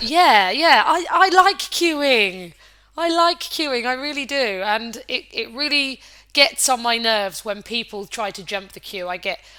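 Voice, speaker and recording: Woman's bright, sharp, high voice with very wide pitch swings and big swings in loudness, at a fairly slow pace. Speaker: podcast host. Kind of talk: casual chat.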